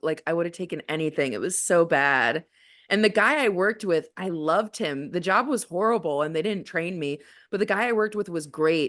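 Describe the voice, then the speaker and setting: The voice is loud and fairly quick, set against a quiet background. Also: woman. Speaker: comedian. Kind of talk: casual chat.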